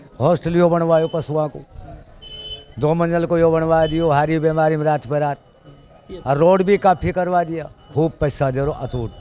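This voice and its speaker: Music plays in the background as a man speaks at a fairly high pitch with fairly even intonation. He leaves long, frequent pauses. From Rajasthan, Alwar district village. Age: 70s. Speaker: villager. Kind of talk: street interview.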